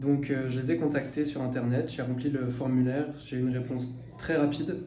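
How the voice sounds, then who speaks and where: A man with a fairly high pitch speaks at a moderate pace amid audible room echo. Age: 20s. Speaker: translation intern. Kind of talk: interview testimony. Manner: hesitant, many fillers.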